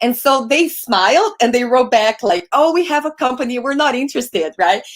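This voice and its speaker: Speaking at a fairly quick pace with a Brazilian accent, this voice swings very widely in pitch. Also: woman. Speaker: podcast host and sales coach. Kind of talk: casual interview chat. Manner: animated.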